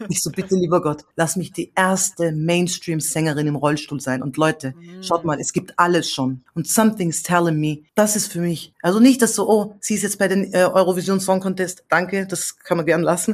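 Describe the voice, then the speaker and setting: At a moderate pace and with hardly any pauses, a woman speaks at a fairly low pitch with ordinary pitch variation. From Austria. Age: 30s. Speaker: singer-songwriter. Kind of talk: casual interview chat. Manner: animated.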